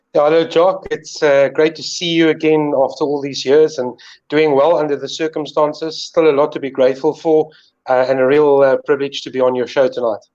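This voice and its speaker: A fairly high-pitched man with a South African accent. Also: fairly even intonation, fairly quick pace. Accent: Afrikaans South African English. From South Africa, northern KwaZulu-Natal. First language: Afrikaans. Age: 40s. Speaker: sports presenter. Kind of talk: casual interview.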